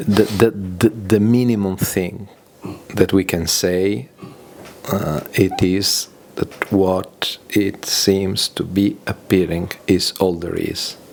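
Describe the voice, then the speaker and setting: Against noticeable background noise, someone with a non-native accent speaks at a very slow pace. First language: not English. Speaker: audience participant. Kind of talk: question and answer. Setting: gathering in London. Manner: halting.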